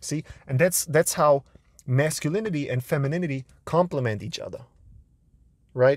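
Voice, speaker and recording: A man talks at a moderate pace with an animated tone, a fairly high pitch, ordinary pitch variation and long, frequent pauses. The recording is very clean, with a silent background and a dry, close sound with no echo. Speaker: self-help video host. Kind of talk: casual monologue to camera. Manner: loud.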